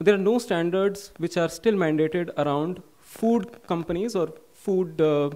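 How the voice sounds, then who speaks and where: A high-pitched male voice at a moderate pace, with ordinary pitch variation. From India. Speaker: policy researcher; conference speaker. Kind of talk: conference summary speech. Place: hall. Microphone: podium.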